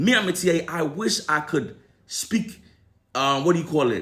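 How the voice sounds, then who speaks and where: A man with a fairly high pitch, vocal fry and an animated tone speaks at a fairly slow pace. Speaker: entertainment commentator. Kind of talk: opinion commentary.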